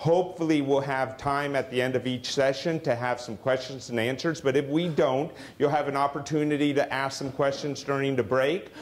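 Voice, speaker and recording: Over noticeable background noise, a man talks at a fairly quick pace and fairly high pitch, his intonation fairly even and with hardly any pauses. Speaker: investment firm founder presenting. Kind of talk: seminar presentation. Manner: fast.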